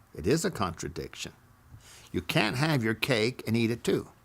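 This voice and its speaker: A man speaks at a fairly slow pace with an American accent. His voice carries vocal fry. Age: 80s+. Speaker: storyteller recounting memoirs. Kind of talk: personal storytelling.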